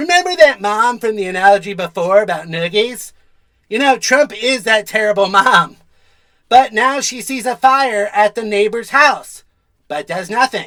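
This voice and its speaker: A cartoonish character voice, fairly high in pitch, moves at a moderate pace. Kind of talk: comedy news satire anchor. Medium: puppet.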